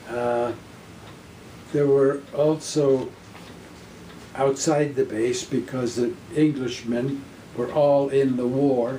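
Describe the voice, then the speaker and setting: A man at medium pitch, at a very slow pace with long, frequent pauses, flat monotone intonation and noticeable background noise. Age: 80s+. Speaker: war veteran. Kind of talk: personal war storytelling.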